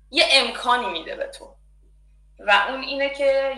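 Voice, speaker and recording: A woman talks in a high voice. Noticeable background noise and audible room echo are present. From Iran. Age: 20s. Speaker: design student. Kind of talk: interview, personal story. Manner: halting.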